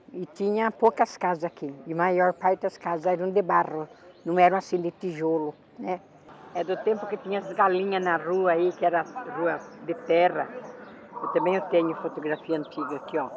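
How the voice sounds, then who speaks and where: Moderately paced male speech, high in pitch, over noticeable background noise. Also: fairly even intonation. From Sorocaba, São Paulo state, Brazil. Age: 70s. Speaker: longtime local resident. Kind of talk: documentary interview.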